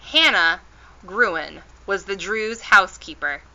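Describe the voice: Just plain reading aloud, nothing more.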